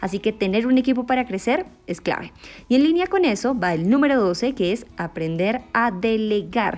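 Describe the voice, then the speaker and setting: A woman's animated, fairly high voice leaps through very wide pitch swings. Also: moderate pace. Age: 20s. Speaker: podcast host. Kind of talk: casual monologue.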